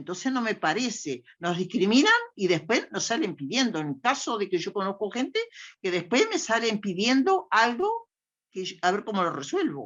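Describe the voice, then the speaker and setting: A moderate pace with very wide pitch swings. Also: woman. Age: 80s+. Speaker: older adult participant. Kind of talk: personal testimony in a panel discussion.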